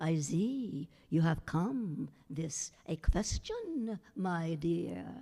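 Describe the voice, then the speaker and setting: A woman uses a put-on character voice at a fairly low pitch with lively intonation. She speaks very slowly yet with hardly any pauses. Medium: solo performance. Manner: slow, mystical, humming pauses.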